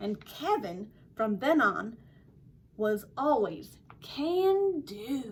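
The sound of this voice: A woman's fairly high voice at a very slow pace, with big pitch swings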